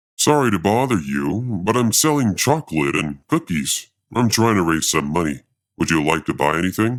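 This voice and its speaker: Putting on a character voice, a man speaks at a very deep, low pitch with very wide pitch swings, on a very clean recording with a silent background. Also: moderate pace. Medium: read story.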